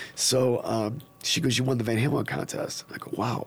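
A man speaks at a medium pitch with a Western New York accent. Noticeable background noise sits behind him. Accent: Western New York American. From upstate New York (Niagara Falls). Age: 50s. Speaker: drummer. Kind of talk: casual chat. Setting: studio.

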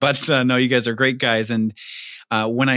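Speaking at a fairly quick pace, a man with an American accent has a medium pitch and ordinary pitch variation. His is a plain, everyday voice. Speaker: podcast host. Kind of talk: casual interview chat.

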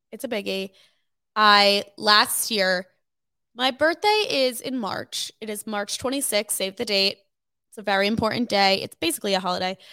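The sound is dry and close, with no echo. A woman with an American accent speaks in a bright, sharp tone at medium pitch and a moderate pace, with ordinary pitch variation. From New Jersey (Cherry Hill, near Philadelphia). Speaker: student podcast co-host. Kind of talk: casual chat.

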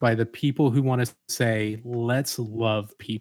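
A man with an American accent, a normal speaking voice, medium pitch and fairly even intonation, on a very clean recording with a silent background. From US South, Atlanta, Georgia. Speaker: father, church member. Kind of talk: casual discussion.

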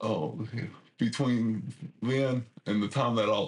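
A man with a Southeast Texas accent at a fairly slow pace. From Southeast Texas, Port Arthur area. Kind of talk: interview. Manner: halting, many fillers and repetitions.

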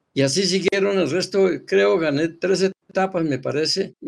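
This man's pitch varies in an ordinary way as he proceeds at a moderate pace. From Colombia, Bogotá (born in Boyacá). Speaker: retired professional cyclist. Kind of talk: interview, reminiscing.

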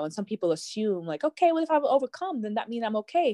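On a very clean recording with a silent background, a woman with a dark, mellow tone uses lively intonation in a dry, close sound with no echo. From Jamaica. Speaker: mental health counselor and ministry founder. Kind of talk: casual chat.

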